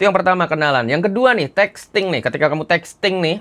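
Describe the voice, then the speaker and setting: A man speaks in a shrill, bright and sharp voice, animated in tone and at a fairly quick pace. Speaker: dating coach. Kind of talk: online course preview.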